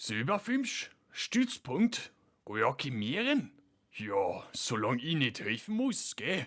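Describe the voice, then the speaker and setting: Speaking at a very slow pace, a man puts on a cartoonish character voice with a fairly high pitch. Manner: relaxed, laid-back.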